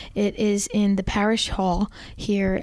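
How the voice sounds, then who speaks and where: Noticeable background noise runs under this recording. The woman speaking has a medium pitch. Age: 30s. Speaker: parish youth ministry coordinator, guest co-host. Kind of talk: casual podcast chat with announcements. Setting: parish office recording.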